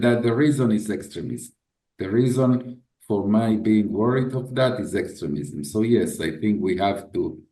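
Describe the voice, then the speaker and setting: This man has a dark, mellow tone at medium pitch, speaking at a moderate pace with audible room echo. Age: 60s. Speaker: head of a memorial institution. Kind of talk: interview. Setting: video call. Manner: halting, with frequent repetitions.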